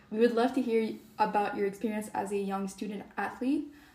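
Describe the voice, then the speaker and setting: Noticeable background noise sits behind a woman's fairly high-pitched voice. Her intonation stays fairly even. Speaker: student podcast host. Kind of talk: interview.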